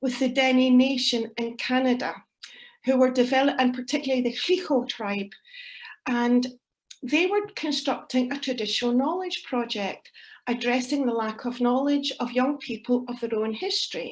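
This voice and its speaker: A woman's high voice in a Scottish accent, at a moderate pace with ordinary pitch variation. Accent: Scottish (Ayrshire). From Scotland, Ayrshire. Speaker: academic researcher and poet. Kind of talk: conference presentation.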